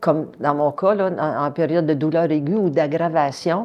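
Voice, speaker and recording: A woman with a very deep, low pitch, a dark, mellow tone, fairly even intonation, and a fairly slow pace. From French Canada. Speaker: patient with chronic condition. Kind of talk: testimony. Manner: hesitant, many fillers.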